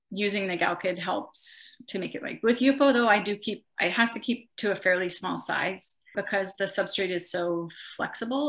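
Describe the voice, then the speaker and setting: A woman's voice with vocal fry at a moderate pace, over a quiet background. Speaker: interviewee. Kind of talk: interview answer. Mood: relaxed, friendly. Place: home room. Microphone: video call.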